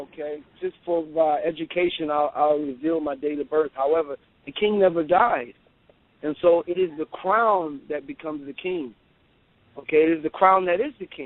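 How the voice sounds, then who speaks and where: With an American accent and an unremarkable speaking voice, a man speaks at a moderate pace in a fairly high pitch with ordinary pitch variation. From US South. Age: 40s. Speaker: traditional king. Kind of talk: interview.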